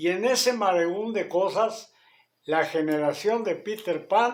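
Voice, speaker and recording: Speaking fairly slowly, a man with a high pitch shows ordinary pitch variation. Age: 70s. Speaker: radio show host. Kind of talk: casual monologue commentary.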